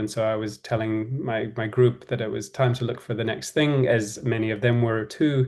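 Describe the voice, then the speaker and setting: A man's medium-pitched voice with a New Zealand accent, flat and monotone, against a quiet background. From New Zealand, Auckland. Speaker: design and innovation executive. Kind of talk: podcast interview. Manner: relaxed storytelling.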